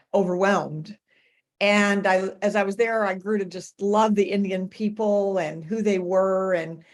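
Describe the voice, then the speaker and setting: At a fairly slow pace, a woman with an American accent speaks in a medium pitch with monotone, flat intonation. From US Midwest, Nebraska. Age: 70s. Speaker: missionary. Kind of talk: interview.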